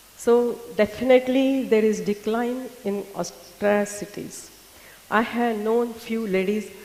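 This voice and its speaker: There is noticeable background noise as a woman talks in a fairly high pitch. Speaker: patient advocate and doctor. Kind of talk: conference presentation. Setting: symposium with audience.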